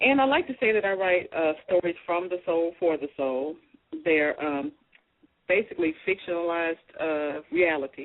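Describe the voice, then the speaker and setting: With a Southern US accent, a woman speaks at a moderate pace in a fairly low pitch. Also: lively intonation. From US South, Arkansas. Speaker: author. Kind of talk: radio interview.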